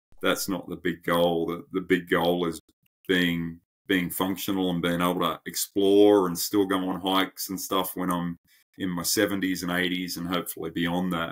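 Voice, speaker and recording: At a moderate pace, the speaker keeps a monotone, flat intonation on a very clean recording with a silent background. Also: man, very deep, low pitch for a man. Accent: Australian. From Australia. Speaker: endurance coach. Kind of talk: podcast interview. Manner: halting.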